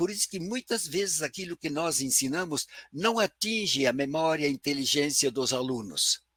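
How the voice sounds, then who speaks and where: Bright and sharp in tone, a man's fairly high voice moves at a moderate pace with lively intonation, recorded with a dry, close sound and no echo. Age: 80s+. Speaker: professor. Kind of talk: lecture.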